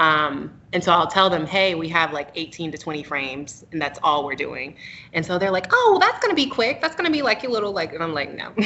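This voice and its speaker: Against noticeable background noise, a woman with an American accent speaks at a fairly quick pace, her fairly low pitch moving with lively intonation. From North Carolina (Raleigh). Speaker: photographer. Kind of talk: interview.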